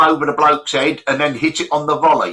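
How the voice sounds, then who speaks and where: Moving at a fairly quick pace, a man speaks with a bright, sharp tone at a fairly high pitch. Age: 60s. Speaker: livestream chat host. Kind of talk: casual chat. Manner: halting, many fillers.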